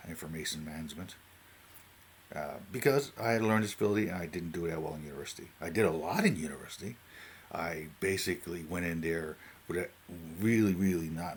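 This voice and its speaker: Delivered at a fairly quick pace in a Newfoundland accent, the speech shows ordinary pitch variation. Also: man, very deep, low pitch for a man. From Newfoundland, Canada. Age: 40s. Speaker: YouTuber talking about AI. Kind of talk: casual unscripted monologue. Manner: halting, many fillers and restarts.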